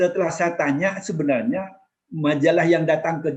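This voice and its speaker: Speaking at a moderate pace, a man with a Madurese accent uses a fairly high pitch. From East Java, Madurese-speaking area (Kraksaan, Probolinggo). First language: Madurese (speaking Indonesian). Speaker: former ambassador. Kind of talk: casual interview, life story. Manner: halting, with restarts.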